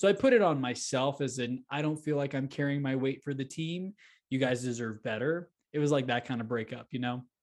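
Using an unremarkable speaking voice, a man with an American accent talks fairly quickly at a medium pitch with ordinary pitch variation. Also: quiet background. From Texas, Houston area. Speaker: real estate entrepreneur and podcast host. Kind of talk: interview.

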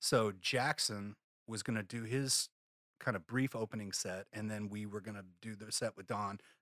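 A man uses an unremarkable speaking voice with a fairly low pitch, fairly even intonation and a moderate pace. The recording is very clean with a silent background, dry and close with no echo. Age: 40s. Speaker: guitarist and sideman. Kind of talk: interview.

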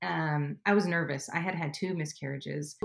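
A woman with an American accent at a fairly slow pace, with ordinary pitch variation. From US West Coast, Southern California. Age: 30s. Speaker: mother of three. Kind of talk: interview conversation.

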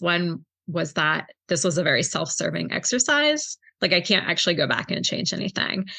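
A woman speaks at a moderate pace with a fairly low pitch and lively intonation. Her tone is bright and sharp, with vocal fry. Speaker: librarian and book club founder. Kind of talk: casual interview chat.

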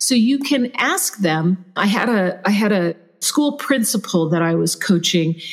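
A woman speaks at a fairly slow pace with lively intonation and a medium pitch. Noticeable background noise runs under her voice. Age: 50s. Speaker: leadership coach and trainer. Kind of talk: interview conversation.

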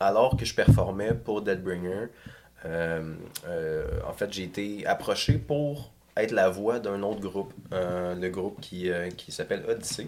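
The man's pitch is fairly low. He speaks at a very slow pace. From Quebec, South Shore of Montreal (Saint-Bruno). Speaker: metal singer and songwriter. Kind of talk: casual interview chat.

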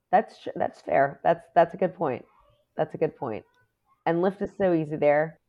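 Speaking in an American accent, a woman with a fairly low pitch moves at a moderate pace with ordinary pitch variation in an ordinary speaking voice. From New York City, Queens. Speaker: Disney fan and Instagram creator. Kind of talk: casual chat.

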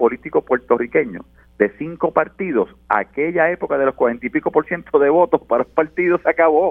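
A man at a fairly quick pace, pitch swinging very widely, with music in the background. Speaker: politician. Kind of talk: political panel discussion.

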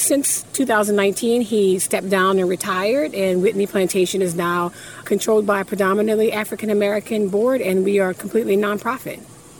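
Speaking at a fairly quick pace with hardly any pauses, a woman keeps her loudness very even and her intonation fairly even over noticeable background noise. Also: medium pitch for a woman. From Louisiana. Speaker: museum representative. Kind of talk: interview.

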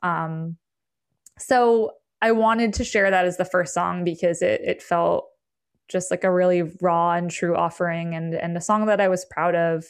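Against a quiet background, a woman speaks in an ordinary speaking voice, fairly low in pitch, with fairly even intonation at a moderate pace. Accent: American. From US Northeast, Berkshires, Western Massachusetts. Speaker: musician. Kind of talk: interview.

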